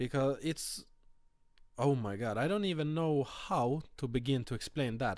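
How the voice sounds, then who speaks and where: A man with a Swedish accent talks at a fairly high pitch. His intonation is lively. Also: very clean recording, silent background. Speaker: vape reviewer. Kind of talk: product review. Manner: halting, many fillers.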